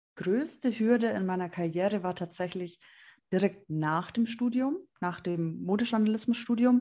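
A woman's dark, mellow voice at a moderate pace. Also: medium pitch for a woman, ordinary pitch variation. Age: 20s. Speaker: journalist and magazine editor. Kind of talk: interview. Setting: video call.

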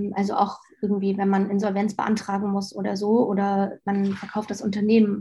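In a dark, mellow, somewhat breathy voice of medium pitch, a woman speaks at a moderate pace on a very clean recording with a silent background. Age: 30s. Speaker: marketing executive at an online magazine. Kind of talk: interview.

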